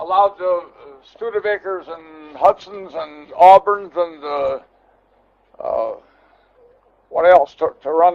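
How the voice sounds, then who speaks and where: A man with a high pitch speaks at a very slow pace with long, frequent pauses, fairly even intonation and big swings in loudness. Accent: American. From Milwaukee, Wisconsin. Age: 80s+. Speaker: car collector. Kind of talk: guided tour. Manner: halting, many repetitions.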